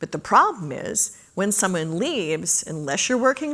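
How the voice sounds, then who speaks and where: This woman's pitch swings very widely. She keeps a moderate pace. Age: 60s. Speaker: conference speaker. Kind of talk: Q&A after a talk.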